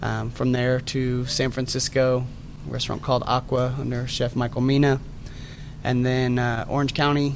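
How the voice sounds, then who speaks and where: Noticeable background noise and audible room echo surround this recording. A man with an American accent talks in a monotone, flat way. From Dallas-Fort Worth area, Texas. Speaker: chef. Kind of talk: interview. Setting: restaurant lobby.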